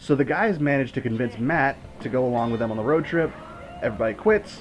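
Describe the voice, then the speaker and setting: Over music in the background, the speaker races along at a very fast pace with lively intonation. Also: man, medium pitch for a man. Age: 20s. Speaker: movie reviewer. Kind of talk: commentary-style movie review. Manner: animated.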